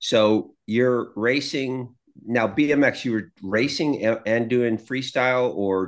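Against a quiet background, a man uses a plain, everyday voice at a medium pitch with ordinary pitch variation. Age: 60s. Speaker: podcast co-host. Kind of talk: casual chat.

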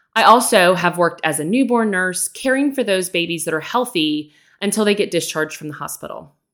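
In a very clean recording with a silent background, a woman with an American accent and an ordinary speaking voice talks fairly quickly at a medium pitch, using lively intonation. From Texas. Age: 40s. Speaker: podcast host, nurse and educator. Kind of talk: casual monologue.

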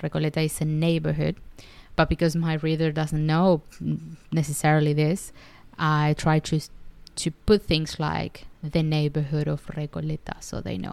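A woman with a Spanish accent, very deep and low-pitched, monotone and flat at a moderate pace, on a very clean recording with a silent background. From Argentina. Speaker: podcaster and writer. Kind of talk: solo podcast monologue.

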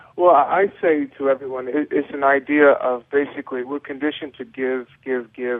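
Speaking at a fairly quick pace, a man has an unremarkable speaking voice and a fairly high pitch. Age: 30s. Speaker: former pro football player and yoga advocate. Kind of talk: radio interview.

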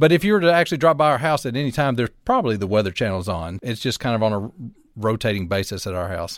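A man with a Southern US accent talks at a very fast pace. His medium-pitched voice swings very widely in pitch. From US South, North Alabama. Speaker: meteorologist. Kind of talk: casual chat.

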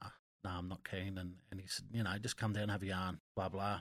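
In a very clean recording with a silent background, a man speaks in an Australian accent. His pitch is fairly low, with fairly even intonation. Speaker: former rugby league player. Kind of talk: casual chat. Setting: studio.

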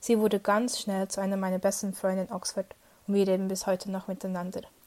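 In a very clean recording with a silent background, a woman speaks at a medium pitch. Her tone is dark and mellow, her intonation monotone and flat. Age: 20s. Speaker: former intern abroad. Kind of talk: personal testimony.

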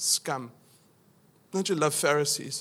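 A man speaks with a South African accent in a bright, sharp tone. The recording is very clean, with a silent background. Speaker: pastor. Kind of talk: sermon. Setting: church. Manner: casual, humorous.

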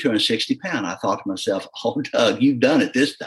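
This man speaks with a Southern US accent at a fairly slow pace. His pitch is fairly high, with ordinary variation. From US South, southeast Missouri (Dexter). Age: 40s. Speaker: agricultural pilot. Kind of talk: casual interview.

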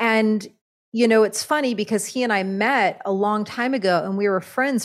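A woman speaks at a moderate pace with a fairly high pitch and ordinary pitch variation, in an unremarkable speaking voice. The recording is very clean, with a silent background. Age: 40s. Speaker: shaman and author. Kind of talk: casual interview.

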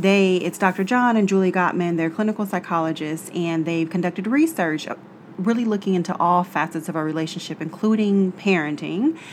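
Her voice is an unremarkable speaking voice, medium in pitch with ordinary pitch variation. The woman talks at a fairly quick pace. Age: 30s. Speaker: podcast co-host. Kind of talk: casual chat.

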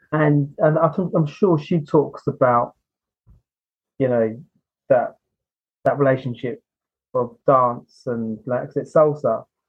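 Very slow and broken by long, frequent pauses, a man talks. His voice is fairly high and somewhat breathy. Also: ordinary pitch variation. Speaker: podcast host. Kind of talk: casual interview chat.

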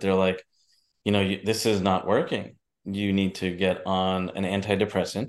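In a quiet background, a man with a New York accent talks in a fairly low pitch with monotone, flat intonation. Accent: New York area American. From New Jersey / New York. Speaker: entrepreneur and filmmaker. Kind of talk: interview.

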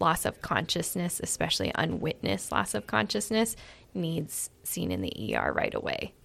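A woman with an American accent speaks at a moderate pace in a very deep, low voice with vocal fry and very wide pitch swings. The recording is very clean, with a silent background. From Iowa, US Midwest. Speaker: physician assistant. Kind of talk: casual interview.

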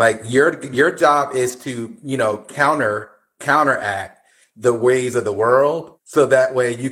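In an American accent, a man talks at a very slow pace on a very clean recording with a silent background. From New Jersey. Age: 50s. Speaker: podcast guest. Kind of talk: casual chat.

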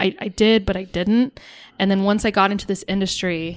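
In an American accent, a woman with an unremarkable speaking voice talks at a fairly quick pace and medium pitch on a very clean recording with a silent background. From Ireland and US. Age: 30s. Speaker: airline ramp agent. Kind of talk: casual chat.

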